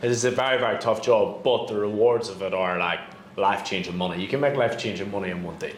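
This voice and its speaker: A man at medium pitch with a Northern Irish accent, talking very fast, with noticeable background noise and audible room echo. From Northern Ireland. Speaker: real estate broker. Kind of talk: casual chat.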